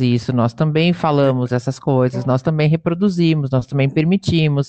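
A woman's very deep, low voice with a dark, mellow tone, ordinary pitch variation and a moderate pace. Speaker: podcast host, dance teacher. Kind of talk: casual interview.

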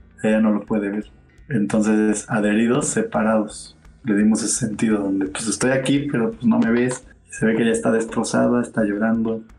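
A man's medium-pitched flat monotone at a fairly quick pace, with music in the background. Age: 30s. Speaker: theatre producer. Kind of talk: casual interview. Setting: live stream.

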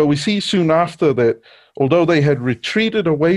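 Using lively intonation, a man with a Niuean accent and a fairly high pitch speaks at a moderate pace. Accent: Pacific Islander (Niuean) English. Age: young. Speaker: preacher. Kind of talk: sermon. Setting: church with congregation.

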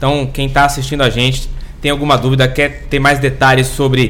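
A man's fairly high voice with audible room echo and noticeable background noise. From Brazil, Santos. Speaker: podcast co-host. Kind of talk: casual interview chat. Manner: animated.

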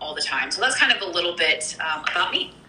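Noticeable background noise sits behind a speaker with an American accent. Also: woman. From US Midwest, Kansas. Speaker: network marketer. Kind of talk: casual interview.

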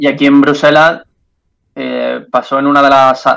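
A man with an Andalusian accent speaks at a moderate pace and medium pitch. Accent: Andalusian (Jaén), keeps it. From Andalusia, Jaén. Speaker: journalist, news agency correspondent. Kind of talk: casual interview.

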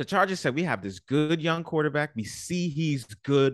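A man with a New York accent speaks at a moderate pace in a fairly high voice, recorded dry and close with no echo against a quiet background. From New York, the Bronx. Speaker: podcast host. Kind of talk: casual chat.

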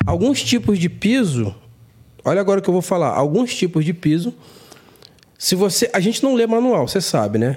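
Over noticeable background noise, the voice moves at a fairly quick pace with very wide pitch swings. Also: man. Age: 40s. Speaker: construction contractor and content creator. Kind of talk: casual chat.

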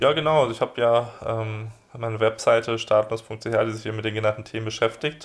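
A man talks at a fairly quick pace, his pitch medium. His intonation stays monotone and flat. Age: 20s. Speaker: blogger and online entrepreneur on emigration and offshore business. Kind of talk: podcast interview. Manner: hesitant with many fillers.

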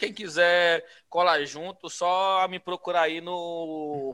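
The recording is very clean, with a silent background. A man speaks in a high-pitched, bright, sharp tone. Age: 30s. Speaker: podcast guest, gamer. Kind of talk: casual chat. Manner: halting, repeats words.

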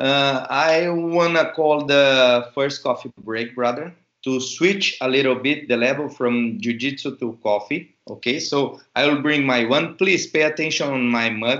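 With a Portuguese accent, a man speaks at a fairly slow pace and fairly high pitch, using ordinary pitch variation and hardly any pauses. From Brazil. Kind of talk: interview.

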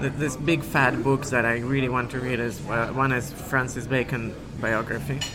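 At a moderate pace, the voice speaks in a flat monotone over noticeable background noise. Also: man, medium pitch for a man. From Siberia, Russia. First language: Russian. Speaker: concert pianist. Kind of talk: interview. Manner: halting.

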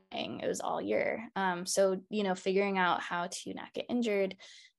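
A woman with an American accent talks in a normal speaking voice at a moderate pace with ordinary pitch variation. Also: quiet background. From Baltimore, Maryland. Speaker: naturopathic doctor and acupuncturist. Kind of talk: interview about her practice.

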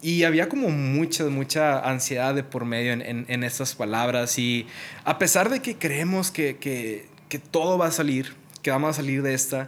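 A man's fairly slow, lively-toned speech. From Mexico, Monterrey, Nuevo León. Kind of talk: casual devotional monologue.

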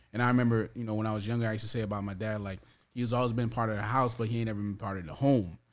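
A man's fairly low, monotone, flat voice at a very fast pace. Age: 30s. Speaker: father. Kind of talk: casual chat.

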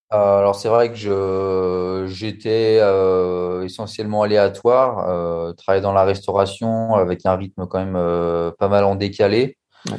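Over music in the background, a man speaks very slowly at a fairly low pitch with monotone, flat intonation. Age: 30s. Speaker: restaurant waiter, coaching client. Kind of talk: testimony interview. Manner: halting.

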